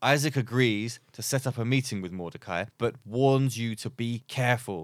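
An unforced reading voice is used. Pitch variation is ordinary.

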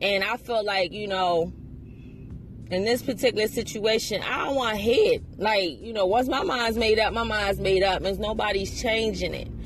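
Fairly high-pitched and animated, a woman talks at a moderate pace. Noticeable background noise runs under her voice. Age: 30s. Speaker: podcast host. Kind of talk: casual monologue. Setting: in a car.

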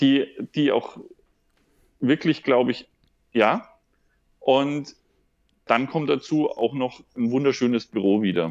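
A man's very slow delivery with long, frequent pauses and ordinary pitch variation. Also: medium pitch for a man. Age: 30s. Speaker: regional development worker with psychology background. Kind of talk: casual interview.

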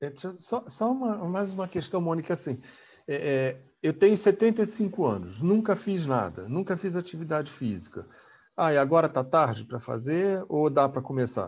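At a moderate pace, a man with a fairly high voice swings his pitch very widely. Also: quiet background. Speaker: gerontology channel co-host. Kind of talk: interview questions.

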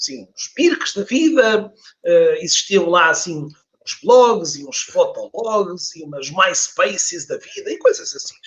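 At a fairly slow pace with hardly any pauses, a man speaks with big swings in loudness. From Portugal, Porto. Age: 40s. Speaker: LinkedIn trainer and author. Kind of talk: casual interview. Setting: online live stream.

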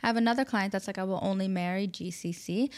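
In a very clean recording with a silent background, the speaker goes at a fairly quick pace with a New York accent. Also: woman. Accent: New York American. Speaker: matchmaker, agency founder. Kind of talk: interview conversation. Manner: animated.

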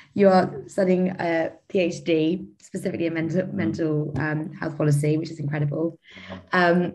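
A plain, everyday voice, fairly slow and fairly even in intonation. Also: woman. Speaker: student podcast host. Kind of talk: interview.

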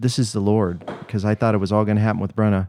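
The voice carries an American accent. Its tone is dark and mellow. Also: man. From US Ohio. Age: 50s. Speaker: airline pilot. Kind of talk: testimony. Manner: soft-spoken, gentle.

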